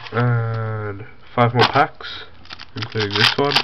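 Very slow speech against noticeable background noise. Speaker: card collector. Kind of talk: casual card pack opening to camera. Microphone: phone near.

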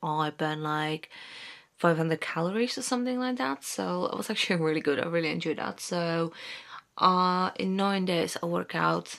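A woman at a fairly low pitch and moderate pace against a quiet background. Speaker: vlogger. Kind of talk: casual vlog chat. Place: home room. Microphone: phone near.

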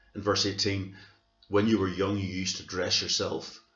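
A man's fairly low voice at a moderate pace, with audible room echo and faint music in the background. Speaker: church minister. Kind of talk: sermon. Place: home room. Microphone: webcam.

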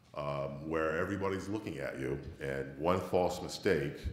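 Vocal fry marks this man's voice, which has ordinary pitch variation. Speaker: flight test manager. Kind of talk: conference panel discussion. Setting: stage with audience.

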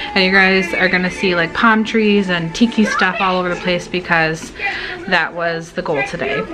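Against clear music in the background, a woman speaks at a moderate pace. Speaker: vlogger. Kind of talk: casual vlog chat. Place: home room. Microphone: phone near.

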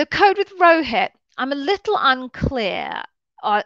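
A woman speaks with lively intonation. The background is quiet, and the sound is dry with no echo. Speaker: interview coach. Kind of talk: live stream Q&A advice. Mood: puzzled, questioning. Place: home room. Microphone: headset.

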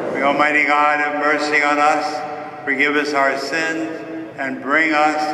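A man talks at a very slow pace in a monotone, flat intonation. Noticeable background noise runs underneath. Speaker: priest. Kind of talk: liturgical prayer. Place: church. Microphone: camera far.

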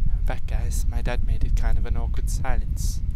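A man is speaking over loud background noise. The sound is dry, with no echo. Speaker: gaming commentator. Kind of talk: casual let's play commentary. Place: home room.

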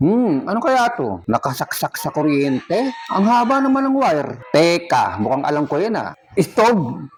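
Over noticeable background noise, a man with a high voice talks at a moderate pace, his pitch swinging very widely. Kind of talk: pitchman demo, playful sales pitch for a used-oil stove. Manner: animated, teasing, exclaiming with mock surprise.

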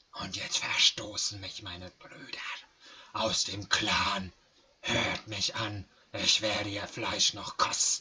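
In a put-on character voice, a man speaks at a fairly low pitch and a fairly slow pace. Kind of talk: gruff monster voice in game dialogue. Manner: bitter, snarling.

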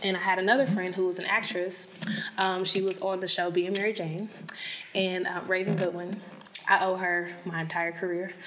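With light background noise behind her, a woman at a medium pitch speaks at a moderate pace with monotone, flat intonation. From Tennessee (Nashville). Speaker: makeup artist. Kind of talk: interview. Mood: warm, candid storytelling. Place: studio.

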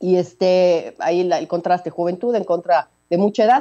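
A woman's fairly low voice, dark and mellow in tone

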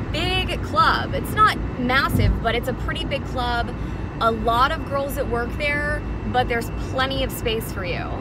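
A woman speaks at a fairly slow pace. The sound is dry with no echo, with loud background noise. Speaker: club dancer reviewing a workplace. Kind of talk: casual vlog chat. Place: car. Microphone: phone near.

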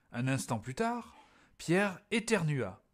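In a very clean recording with a silent background, a man speaks at a very slow pace in a gentle, calm tone, somewhat breathy, with very wide pitch swings. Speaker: storyteller reading to children. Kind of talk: bedtime story reading aloud. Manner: gentle, calm storyteller pacing, child-directed.

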